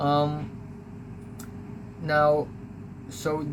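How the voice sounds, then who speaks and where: A man with an American accent speaks at a fairly high pitch. Noticeable background noise and audible room echo are present. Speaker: YouTuber recounting school life. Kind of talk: casual storytelling monologue. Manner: hesitant, many fillers.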